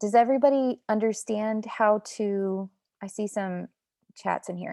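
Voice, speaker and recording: A woman with a dark, mellow tone at a fairly slow pace, with big swings in loudness and a dry, close sound with no echo. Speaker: network marketing team leader. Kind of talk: team motivational video call. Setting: video call. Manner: excited, intense; animated.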